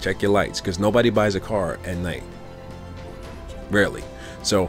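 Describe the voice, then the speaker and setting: A man speaks at a moderate pace in a fairly low voice with ordinary pitch variation. Music plays clearly in the background. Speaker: car sales tips vlogger. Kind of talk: casual tips talk to camera.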